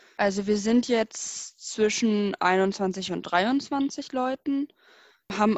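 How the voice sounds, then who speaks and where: Very slow speech from a woman at a medium pitch, the pitch shifting in an ordinary way. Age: 20s. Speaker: student volunteer. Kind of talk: interview. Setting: video call.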